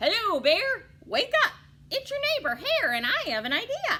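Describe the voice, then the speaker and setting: A woman puts on a character voice with extremely high pitch, speaking at a moderate pace. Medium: read story. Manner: bright, smooth-talking.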